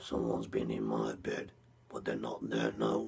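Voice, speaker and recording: Putting on a character voice, a man growls in a raspy, very deep, low pitch at a moderate pace. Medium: read story.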